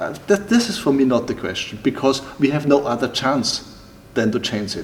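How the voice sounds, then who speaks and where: Over noticeable background noise, a man with a German accent talks at a moderate pace with lively intonation. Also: medium pitch for a man. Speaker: timber building entrepreneur. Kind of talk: interview. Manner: halting, with many repetitions and fillers.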